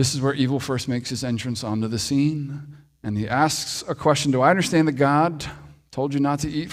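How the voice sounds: A natural reading voice carries the clip.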